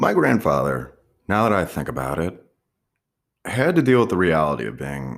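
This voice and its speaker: A man with an American accent speaks at a moderate pace. Vocal fry runs through his voice. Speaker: podcaster. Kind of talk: personal reflective monologue.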